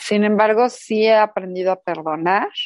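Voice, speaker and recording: Against a quiet background, a woman with a Mexican accent speaks at a fairly slow pace with ordinary pitch variation, in a dry, close sound with no echo. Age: 40s. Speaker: podcast co-host. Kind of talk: casual chat.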